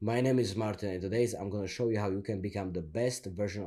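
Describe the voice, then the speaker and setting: Putting on a robotic character voice, a man with a fairly low pitch talks at a very fast pace over light background noise. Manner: lifeless, mechanical.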